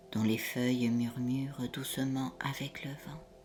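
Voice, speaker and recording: Over music in the background, a woman speaks very slowly in a very deep, low voice with a soothing tone. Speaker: hypnotherapist. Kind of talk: guided hypnosis session. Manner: slow, soothing.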